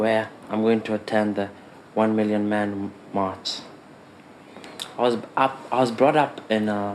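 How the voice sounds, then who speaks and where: Against noticeable background noise, a man speaks very slowly in a fairly low, flat, monotone voice. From Kenya. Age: 20s. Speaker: film student. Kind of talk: personal introduction.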